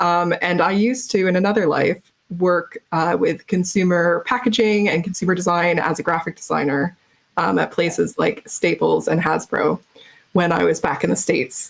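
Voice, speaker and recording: A woman with an American accent speaks at a moderate pace. Her voice has vocal fry and very even loudness. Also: ordinary pitch variation. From US Northeast, Massachusetts. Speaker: game marketing executive, conference speaker. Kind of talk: conference keynote talk. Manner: casual, with frequent filler ums and uhs.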